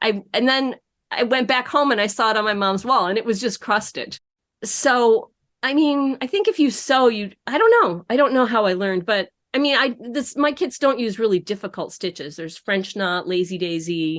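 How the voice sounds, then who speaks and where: A woman talks in an American accent with a plain, everyday voice. Her pitch is fairly high, her intonation lively, and her pace moderate. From upstate New York. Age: 60s. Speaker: embroidery business owner. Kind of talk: podcast interview.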